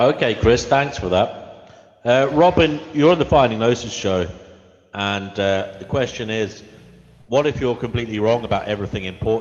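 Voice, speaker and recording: In an ordinary speaking voice, a man speaks at a moderate pace and medium pitch with ordinary pitch variation. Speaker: live show host. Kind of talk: live show hosting.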